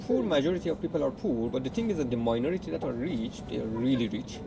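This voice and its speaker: Noticeable background noise and audible room echo frame the recording. A man of medium pitch talks at a very fast pace with lively intonation. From Iran, Tehran. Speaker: partner of the channel host. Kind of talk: casual chat. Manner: hesitant, many fillers.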